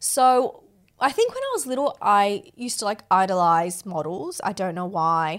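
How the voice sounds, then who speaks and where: With an Australian accent, a woman speaks at a moderate pace with lively intonation on a very clean recording with a silent background. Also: medium pitch for a woman. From Sydney, Australia. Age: 20s. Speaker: reality TV contestant. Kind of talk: casual chat. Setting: studio.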